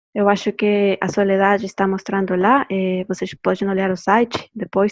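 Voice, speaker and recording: The delivery has monotone, flat intonation. The pace is moderate. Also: woman. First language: Spanish (speaking Portuguese). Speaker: anthropology doctoral researcher. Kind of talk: academic presentation. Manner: halting with fillers.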